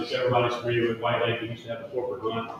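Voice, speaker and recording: Amid noticeable background noise and audible room echo, a man with a Central Louisiana accent speaks with fairly even intonation. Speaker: wildlife agency land manager. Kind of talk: presentation at public meeting. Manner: fast.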